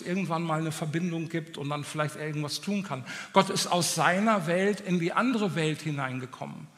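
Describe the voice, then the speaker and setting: High-pitched for a man, his voice moves at a moderate pace with ordinary pitch variation. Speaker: preacher. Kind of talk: sermon. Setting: church with audience. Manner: animated, passionate; direct, exhortative.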